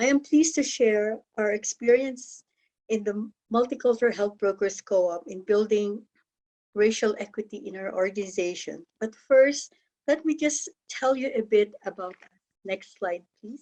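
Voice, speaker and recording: A woman with a Filipino accent speaks with a fairly high pitch and a dark, mellow tone, her loudness swinging widely. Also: ordinary pitch variation, moderate pace. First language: Tagalog. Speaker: health co-op member and presenter. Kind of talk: conference presentation.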